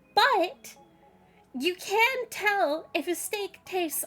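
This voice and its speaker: A woman's extremely high-pitched voice with music in the background. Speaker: vtuber streamer. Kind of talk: casual live-stream chat. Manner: slurs words together sometimes; halting, many fillers and restarts.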